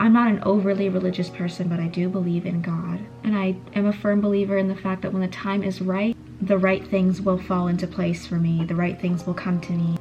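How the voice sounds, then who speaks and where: Over noticeable background noise, a woman talks at a fairly quick pace. Her pitch is medium and her intonation monotone and flat. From Canada. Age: 20s. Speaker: beauty vlogger. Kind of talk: casual chat.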